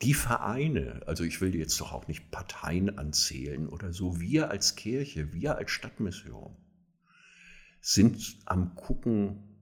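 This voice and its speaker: Very deep and low, a man's voice shows vocal fry and very wide pitch swings. He speaks at a very slow pace. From northern Germany, near Kiel. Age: 60s. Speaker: social worker and homelessness advocate. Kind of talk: interview. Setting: in-person recording, same room.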